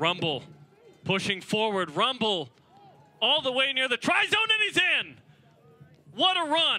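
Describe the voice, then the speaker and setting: A man speaks at an extremely high pitch with very wide pitch swings. Noticeable background noise can be heard. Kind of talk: live play-by-play rugby commentary.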